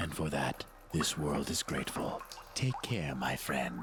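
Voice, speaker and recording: A man puts on a character voice pitched very deep and low, at a fairly slow pace. Clear background noise is present. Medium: video game. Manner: courteous, enigmatic.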